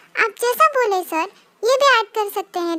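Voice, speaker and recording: Squeaky and put-on, this character voice moves at a fairly quick pace with lively intonation. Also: woman, extremely high pitch for a woman. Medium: fan dub. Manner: polite, deferential.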